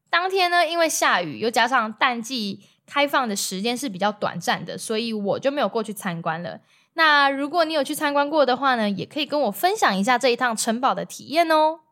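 Her pitch swinging very widely, a woman with a Taiwanese accent talks at a fairly quick pace in a high, bright, sharp voice on a very clean recording with a silent background. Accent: Taiwanese Mandarin. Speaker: travel podcaster. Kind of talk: solo travel storytelling. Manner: casual, chatty with many filler particles.

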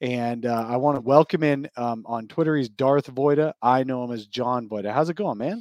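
In a normal speaking voice, a man talks at a moderate pace with hardly any pauses, medium pitch and ordinary pitch variation, recorded dry and close with no echo. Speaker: podcast host. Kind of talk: casual sports talk podcast. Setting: audio-only podcast.

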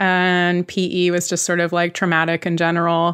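The speaker has a plain, everyday voice with an American accent, moving at a moderate pace on a very clean recording with a silent background. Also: woman. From US West Coast (Bay Area, California). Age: 30s. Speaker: cartoonist and TV creator. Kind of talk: casual interview chat.

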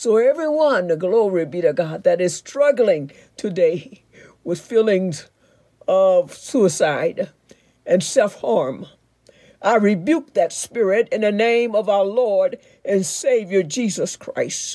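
Very slow and lively in intonation, a woman speaks in a dark, mellow tone. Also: medium pitch for a woman. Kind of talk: fervent prayer. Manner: fervent, declarative; warm, reassuring.

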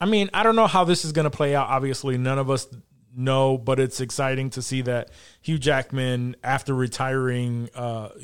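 A man's medium-pitched voice, fairly quick in pace, with ordinary pitch variation. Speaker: podcast host. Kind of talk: casual chat. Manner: animated.

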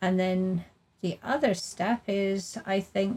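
A woman's somewhat breathy voice sits at medium pitch. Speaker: workplace leadership consultant. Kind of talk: casual interview.

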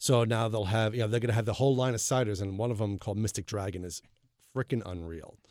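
A man speaks with a Long Island accent on a very clean recording with a silent background. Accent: New York, Long Island. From Long Island, New York. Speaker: beer website creator. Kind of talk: interview.

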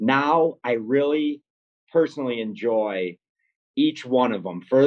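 Ordinary pitch variation runs through this man's fairly high voice. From Rochester, New York. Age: 40s. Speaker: bakery owner. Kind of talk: casual interview. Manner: halting, many fillers.

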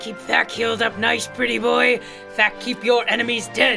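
In a put-on character voice, a man speaks at a moderate pace in an extremely high pitch with vocal fry and little pitch movement while clear music plays in the background.

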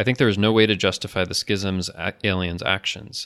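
At a fairly quick pace, a man with an American accent speaks in a plain, everyday voice at a fairly low pitch, with ordinary pitch variation against a quiet background. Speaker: podcast host. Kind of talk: casual chat.

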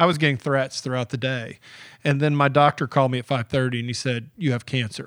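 A man with a Southern US accent talks at a very fast pace, his pitch medium. The recording is very clean, with a silent background. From US South, Georgia (Atlanta area). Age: 50s. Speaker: editorial cartoonist. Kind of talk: casual interview. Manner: animated.

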